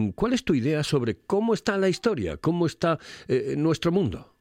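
In a dry, close recording with no echo and a quiet background, a man talks at a fairly quick pace with very wide pitch swings. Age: 60s. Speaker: radio host. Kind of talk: casual chat.

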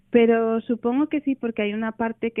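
A woman speaks at a moderate pace in a normal speaking voice that sits fairly high in pitch. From Asturias, Spain (Oviedo). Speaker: novelist. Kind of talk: radio interview.

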